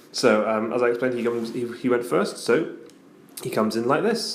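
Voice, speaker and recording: A man speaking quietly at a medium pitch and a very fast pace, flat and monotone, over noticeable background noise. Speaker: tabletop wargaming battle report presenter. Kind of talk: casual battle report narration. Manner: quiet, subdued.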